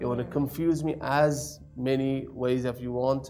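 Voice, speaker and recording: A man with ordinary pitch variation over light background noise. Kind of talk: performance patter. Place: studio. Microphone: lapel.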